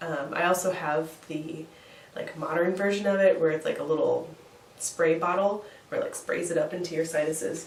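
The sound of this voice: A woman with a low pitch speaks at a moderate pace and fairly even intonation, with room echo audible.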